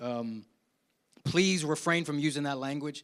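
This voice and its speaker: In a very clean recording with a silent background, a man with an American accent and an unremarkable speaking voice talks at a fairly quick pace and a fairly high pitch. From South Jersey (Willingboro), US. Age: 50s. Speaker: keynote speaker, university professor. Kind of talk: conference Q&A answer. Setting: live conference in church with audience. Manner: conversational, repeats words.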